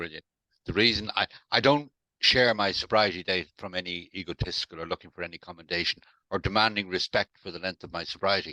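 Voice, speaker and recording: A man with a very deep, low voice and a bright, sharp tone talks at a very fast pace, with big swings in loudness and ordinary pitch variation. The sound is dry and close with no echo, over a quiet background. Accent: Irish. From Ireland, Dublin. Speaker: recovered alcoholic sharing his story. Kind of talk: interview, personal testimony.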